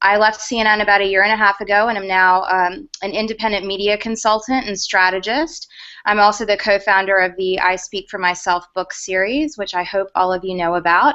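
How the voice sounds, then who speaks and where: A woman with a Southern US accent talks at a fairly quick pace with hardly any pauses. Her medium pitch shows ordinary variation. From US South, Georgia. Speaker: media consultant and former news producer. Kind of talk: panel interview in online video hangout.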